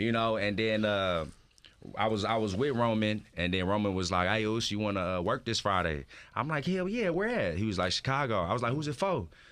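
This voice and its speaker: With an American accent, a man talks at a fairly quick pace in an unremarkable speaking voice, fairly low in pitch, with lively intonation and very even loudness. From Houston, Texas. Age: 20s. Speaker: professional wrestler. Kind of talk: radio interview. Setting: radio studio. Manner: casual, relaxed.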